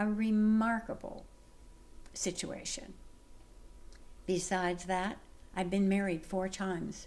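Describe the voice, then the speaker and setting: A woman with an American accent speaks at a medium pitch and a very slow pace. Long, frequent pauses break her speech, and room echo is audible. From US West Coast. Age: 80s+. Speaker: lifestyle vlogger. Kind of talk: personal monologue to camera. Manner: animated.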